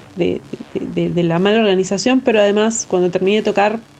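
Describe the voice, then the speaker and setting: Noticeable background noise sits behind a woman's voice. Her pitch is medium, with ordinary variation. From Argentina. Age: 30s. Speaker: DJ and music producer. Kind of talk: interview. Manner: halting, many fillers.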